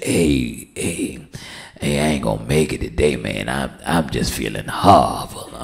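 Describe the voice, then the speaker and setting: Strained and very deep, a man's low-pitched put-on character voice comes through. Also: fairly slow pace. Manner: fake sickly, pitiful, strained.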